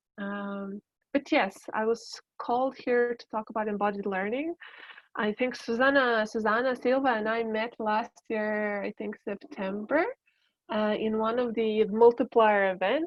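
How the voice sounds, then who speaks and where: Speaking at a fairly slow pace, a woman with a Serbian accent keeps a fairly high pitch with ordinary variation. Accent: Balkan (Serbian) accent in English. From Balkans. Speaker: embodiment educator and dancer. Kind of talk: talk to an online workshop group.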